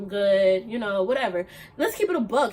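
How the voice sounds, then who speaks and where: Loud and animated in tone, a woman speaks at a moderate pace with very wide pitch swings over noticeable background noise. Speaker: vlogger. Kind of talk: casual vlog monologue.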